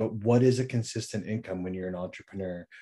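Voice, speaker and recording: A man with a Canadian accent at a very fast pace, dark, mellow tone and fairly even intonation, on a very clean recording with a silent background. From Saskatchewan, Canada. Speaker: entrepreneur. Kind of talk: casual chat.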